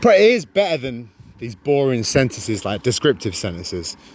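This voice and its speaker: Moderate-paced speech with very wide pitch swings, noticeable background noise behind it. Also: man. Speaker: live streamer. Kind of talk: casual livestream chat. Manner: halting.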